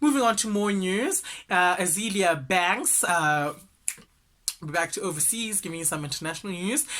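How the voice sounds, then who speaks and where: This man talks at a moderate pace in a raised, projected voice that sits high for a man, with a bright, sharp, animated tone and lively intonation. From South Africa. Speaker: entertainment news podcaster. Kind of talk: casual gossip commentary.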